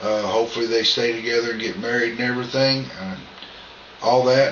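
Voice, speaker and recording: A medium-pitched man with a Southern US accent talks at a moderate pace, with noticeable background noise and audible room echo. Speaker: vlogger. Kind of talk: casual vlog monologue. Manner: loud.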